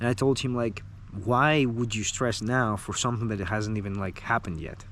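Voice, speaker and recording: A man at a medium pitch and moderate pace, with ordinary pitch variation. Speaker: copywriter and online business coach. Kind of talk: casual talking-head advice video. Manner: casual, many fillers like 'like' and 'uh'.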